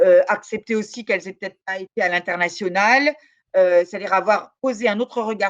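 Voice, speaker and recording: Pitch moves up and down in a normal manner. The recording is dry and close, without any echo. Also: woman. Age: 60s. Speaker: law professor and researcher. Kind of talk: interview. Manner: hesitant, many fillers.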